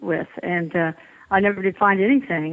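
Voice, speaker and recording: A woman talks in a Texas accent. Her pace is moderate, and her pitch varies in an ordinary way. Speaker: physician and author, bereaved mother. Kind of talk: interview.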